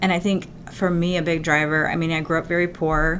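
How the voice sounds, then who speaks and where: In a normal speaking voice, a woman talks at a fairly quick pace with a fairly low pitch. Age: 40s. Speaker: executive coach and company founder. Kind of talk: interview.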